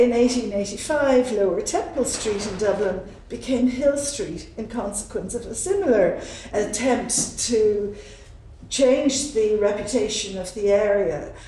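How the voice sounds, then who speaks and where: A woman talks at a fairly slow pace with ordinary pitch variation and big swings in loudness. Light background noise and audible room echo are present. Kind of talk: lecture. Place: hall.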